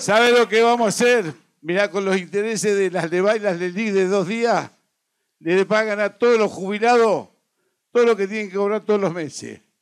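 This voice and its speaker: Against a quiet background, a man talks at a moderate pace with a high pitch and fairly even intonation. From Argentina. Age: 60s. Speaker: trade union leader; speaker. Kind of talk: political speech. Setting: stage with audience. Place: stage. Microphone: handheld.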